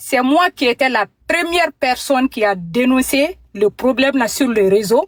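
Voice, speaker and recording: A woman speaks in a high pitch with lively intonation. Her pace is very slow. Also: dry, close sound with no echo. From Mali. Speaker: caller. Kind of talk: phone call-in testimony. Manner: halting.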